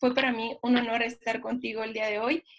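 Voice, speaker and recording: A woman talks at a moderate pace and a fairly high pitch. Her intonation is monotone and flat. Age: 20s. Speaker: direct sales distributor. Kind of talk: testimony.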